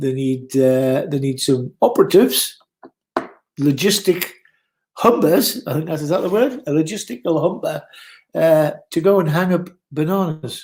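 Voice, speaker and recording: With a Geordie accent, a man speaks at a fairly high pitch and a moderate pace, with lively intonation and long, frequent pauses. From northern England, Newcastle. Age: 60s. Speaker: former bar owner, live streamer. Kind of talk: casual chat. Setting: live stream.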